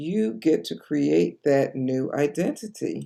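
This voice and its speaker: Dark, mellow tone against a quiet background. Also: woman. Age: 60s. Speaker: life coach. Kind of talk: motivational talk to camera.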